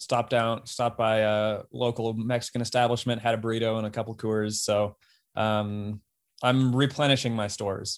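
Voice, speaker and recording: Recorded very cleanly against a silent background, a man with an American accent speaks at a medium pitch and a moderate pace in a normal speaking voice. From Colorado. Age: 30s. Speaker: professional marathon runner. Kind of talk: casual interview.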